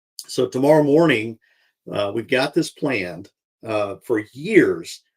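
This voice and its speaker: Speaking at a very slow pace, a man uses lively intonation. His pitch sits in the medium range. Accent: Alabama. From US South, Alabama (Tuscaloosa). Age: 60s. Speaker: podcast host. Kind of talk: casual monologue. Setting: live stream.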